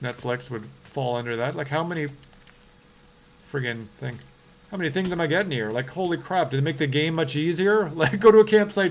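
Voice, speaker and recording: With a Canadian accent and a fairly high pitch, a man speaks at a fairly quick pace with lively intonation and long, frequent pauses over noticeable background noise. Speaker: horror game streamer. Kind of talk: live gameplay stream chat. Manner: animated.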